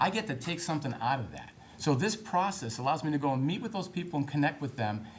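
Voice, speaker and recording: Talking at a fairly quick pace, a man speaks with an American accent. Audible room echo and noticeable background noise fill the recording. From Massachusetts. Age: 50s. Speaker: political candidate. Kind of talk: political debate. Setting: town hall debate.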